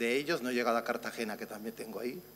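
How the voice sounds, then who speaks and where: This man talks at a medium pitch in an Italian accent. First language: Italian (speaking Spanish). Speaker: physician researcher. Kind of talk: conference talk.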